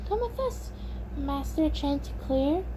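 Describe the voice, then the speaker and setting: Loud background noise runs under this recording. A woman uses a put-on character voice at a moderate pace. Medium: read story.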